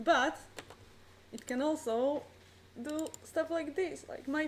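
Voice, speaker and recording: A woman speaks at a high pitch with ordinary pitch variation. Audible room echo is present. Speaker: conference presenter. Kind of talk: conference talk.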